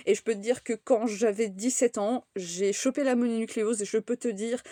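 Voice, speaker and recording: The sound is close and dry, without echo. A woman talks at a fairly high pitch. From France, raised by English parents. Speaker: content creator. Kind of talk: casual vlog monologue. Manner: hesitant, many fillers and repetitions.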